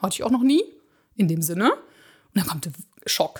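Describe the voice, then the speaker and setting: Very wide pitch swings mark this woman's fairly high voice as she speaks at a very fast pace. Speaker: podcast co-host. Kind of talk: casual chat.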